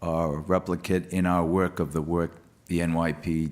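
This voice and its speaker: Recorded very cleanly against a silent background, a man with a Rhode Island accent speaks at a moderate pace in a very deep, low pitch and a monotone, flat intonation. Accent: non-rhotic Rhode Island. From Rhode Island (Providence). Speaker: police official, government office head. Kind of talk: panel discussion.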